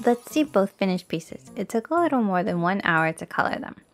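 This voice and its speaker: With music playing behind her, a woman talks at a medium pitch and a fairly quick pace. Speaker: art channel creator. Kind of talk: casual art tutorial narration. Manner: quiet, low volume.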